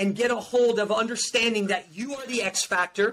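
Raised and projected, a man's animated voice at an extremely high pitch carries over light background noise. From New Jersey. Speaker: performance coach and motivational speaker. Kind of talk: motivational testimony. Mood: emotional personal story. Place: home room.

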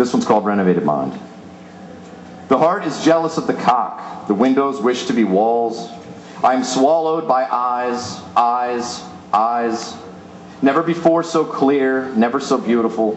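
A man with an American accent speaks at a fairly slow pace with lively intonation, with audible room echo and light background noise. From Pennsylvania, US. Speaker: poet. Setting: stage with audience at a live reading. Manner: animated, playful and self-amused, breaking into laughter mid-poem. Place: stage.

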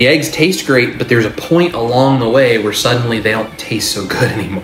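Fairly quick male speech with audible room echo and light background noise. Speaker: diet vlogger. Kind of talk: casual vlog chat. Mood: earnest, animated. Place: kitchen.

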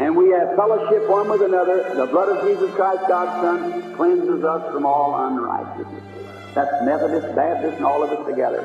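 Clear music plays in the background as the voice moves at a moderate pace with audible room echo. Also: man. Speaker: preacher. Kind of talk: sermon excerpt, preaching. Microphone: old recording.

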